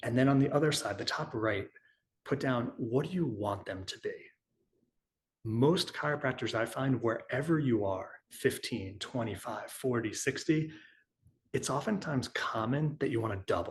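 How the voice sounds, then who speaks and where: A somewhat breathy man's voice at medium pitch with an American accent and ordinary pitch variation. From New York. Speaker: chiropractor and business consultant. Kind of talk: webinar presentation. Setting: online webinar with chat. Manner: fast.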